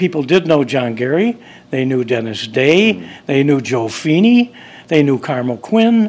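A fairly slow, fairly high-pitched man with an Upper Midwest accent and very wide pitch swings. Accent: Upper Midwest American. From US Midwest, Chicago area then Wisconsin. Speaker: festival founder. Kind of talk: interview. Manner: halting, many fillers.

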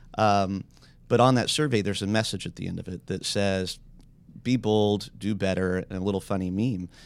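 On a very clean recording with a silent background, a man talks in a plain, everyday voice at a moderate pace, his fairly low pitch kept in fairly even intonation. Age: 40s. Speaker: businessman seeking a partner. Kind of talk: casual chat. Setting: studio.

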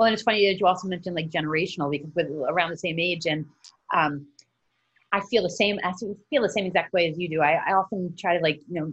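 At a fast pace, a woman speaks with fairly low pitch, ordinary pitch variation, a fairly bright tone and a slightly husky edge.

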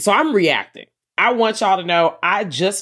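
A moderate pace on a very clean recording, silent background. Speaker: horror podcast co-host. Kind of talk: casual chat. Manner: loud.

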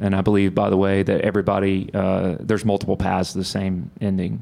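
This man has a Texas accent. His pitch sits fairly low. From Texas (Bryan). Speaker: solar company CEO. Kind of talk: live interview. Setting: stage with audience.

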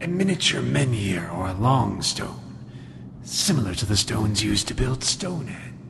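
A man with a fairly low pitch speaks at a moderate pace. Clear background noise can be heard. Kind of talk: 1940s radio hero. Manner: solemn, portentous.

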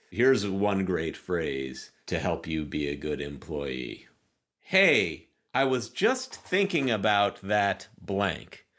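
A man talks very slowly in a fairly low voice with vocal fry and very wide pitch swings. The recording is very clean, with a silent background. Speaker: comedy writer, showrunner, former stand-up. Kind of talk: casual chat.

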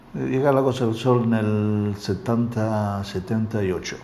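A man's voice comes with audible room echo. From Calabria, southern Italy. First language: Italian (speaking Spanish). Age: 60s. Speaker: interviewee, alleged mafioso businessman. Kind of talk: interview. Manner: halting.

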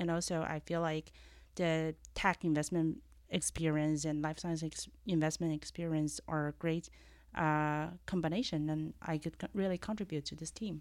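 A woman speaks with a Chinese accent at a moderate pace, her pitch very deep and low. Her intonation stays fairly even over a very clean recording with a silent background. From China. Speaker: venture capital partner. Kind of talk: casual interview chat. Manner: hesitant, many fillers.

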